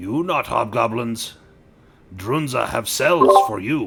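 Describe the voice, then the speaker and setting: A man's raspy, put-on character voice at a medium pitch, with very wide pitch swings and a fairly slow pace. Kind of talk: broken, simple speech.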